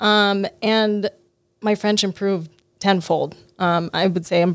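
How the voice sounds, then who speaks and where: A woman with an American accent speaks at a fairly slow pace and medium pitch in a normal speaking voice. Her intonation is fairly even, and the recording is very clean with a silent background. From Las Vegas, US. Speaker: food tour business owner. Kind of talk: interview. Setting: studio.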